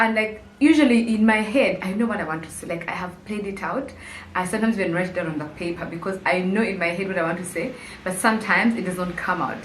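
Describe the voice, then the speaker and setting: Noticeable background noise and audible room echo accompany a woman talking at a very fast pace, medium in pitch with ordinary pitch variation. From Uganda, Kampala. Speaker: YouTuber. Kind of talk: casual vlog monologue. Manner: conversational, hesitant with fillers.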